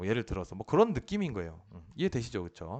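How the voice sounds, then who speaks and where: His pitch swinging very widely, a man talks while the background stays quiet. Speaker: police officer teaching administrative law. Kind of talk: lecture. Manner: fast, slurred at times; hesitant, many fillers.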